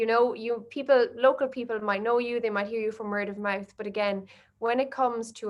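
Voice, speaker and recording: A woman speaks at a fairly quick pace in a fairly high pitch, her intonation monotone and flat. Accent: Irish. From Ireland. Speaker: marketing agency director. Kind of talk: webinar presentation. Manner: fast.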